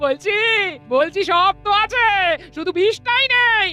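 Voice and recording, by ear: This put-on character voice has a bright, sharp tone and moves at a fairly slow pace. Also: woman, extremely high pitch for a woman, lively intonation.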